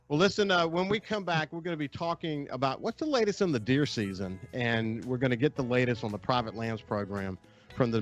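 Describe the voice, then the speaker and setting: Very fast speech from a man at a medium pitch, with very wide pitch swings and music in the background. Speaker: radio outdoors show host. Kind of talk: radio interview.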